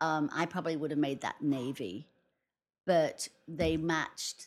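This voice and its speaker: A woman with an English accent, very deep and low in pitch, with fairly even intonation, in a very clean recording with a silent background. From England. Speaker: wedding planner. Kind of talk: casual interview. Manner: hesitant, with frequent fillers.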